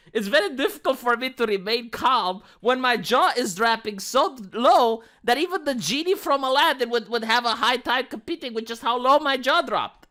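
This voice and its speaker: A squeaky, put-on character voice from a woman, high-pitched and lively in intonation, at a moderate pace. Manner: agitated, struggling to stay calm.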